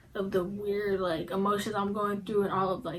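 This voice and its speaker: Speaking at a moderate pace, a woman has an American accent. Her pitch is fairly high. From Indianapolis, Indiana, US Midwest. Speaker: YouTuber. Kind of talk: casual Q&A vlog. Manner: casual, filler-heavy.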